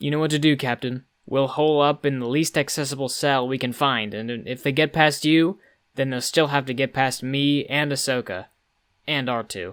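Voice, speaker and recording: A man speaks in a put-on character voice at medium pitch, keeping a moderate pace and fairly even intonation on a very clean recording with a silent background. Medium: audio drama. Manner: commanding.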